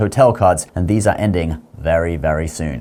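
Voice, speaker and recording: A man with a British accent at a moderate pace over noticeable background noise. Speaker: personal finance youtuber. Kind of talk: online video monologue.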